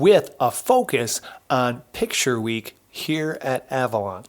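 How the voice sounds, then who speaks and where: Here a man is speaking. His pitch swings very widely. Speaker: podcast host. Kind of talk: casual chat. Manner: hesitant, many fillers; subdued.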